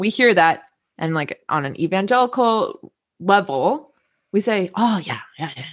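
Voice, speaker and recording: Speaking fairly slowly at a medium pitch, a woman uses a plain, everyday voice. Her intonation is lively, and her loudness swings widely. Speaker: graduate student. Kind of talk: casual interview. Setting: video call.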